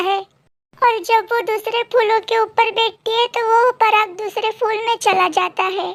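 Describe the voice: A female-sounding, cartoonish character voice at an extremely high pitch delivers its lines at a moderate pace.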